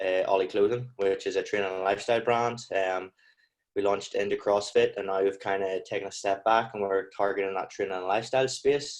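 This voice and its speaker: A man with a strong Northern Irish accent, fairly low in pitch, fairly quick and monotone, against a quiet background. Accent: thick Northern Irish. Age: 20s. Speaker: clothing brand founder. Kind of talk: podcast interview.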